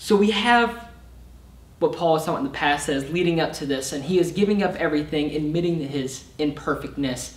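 With audible room echo, a man speaks at a moderate pace with ordinary pitch variation. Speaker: summer intern preacher. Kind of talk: sermon. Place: stage.

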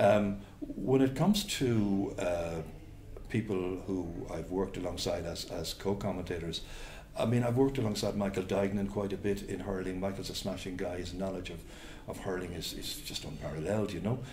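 Over light background noise and audible room echo, a man with a Cork accent speaks at a moderate pace, his fairly low pitch showing ordinary variation. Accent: Cork Irish. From Cork, Ireland; Ireland. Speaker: sports commentator. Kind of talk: interview answer. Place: home room.

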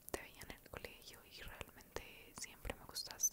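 Loud background noise sits behind a soft-spoken woman. She talks at a very slow pace. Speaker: ASMR creator. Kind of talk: soft ASMR roleplay. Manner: soft close-mic ASMR speech. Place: home room. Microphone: studio mic.

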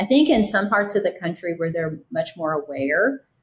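Her voice somewhat breathy and fairly low, a woman speaks with ordinary pitch variation. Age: 50s. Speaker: guest. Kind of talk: interview. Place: home room. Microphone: webcam.

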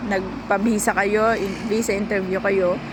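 Audible room echo and noticeable background noise fill the clip as a woman talks at a moderate pace. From Philippines. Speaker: overseas worker vlogger. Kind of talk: tutorial. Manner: casual.

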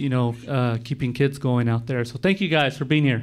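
A man with an American accent and fairly even intonation. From Gila River, Arizona. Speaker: skateboarder and community organizer. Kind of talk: panel discussion. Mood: grateful, relaxed. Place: meeting room. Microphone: handheld.

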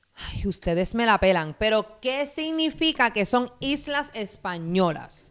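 A fairly high-pitched woman at a very slow pace, with very wide pitch swings and hardly any pauses. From Puerto Rico, Guaynabo and Caguas. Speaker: reaction channel co-host. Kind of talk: casual live-stream chat. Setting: live stream.

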